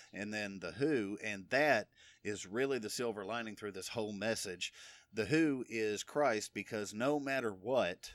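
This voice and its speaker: A man speaks at a moderate pace in a plain, everyday voice with ordinary pitch variation, on a very clean recording with a silent background. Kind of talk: solo religious podcast teaching. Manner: casual, conversational with fillers. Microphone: new recording equipment.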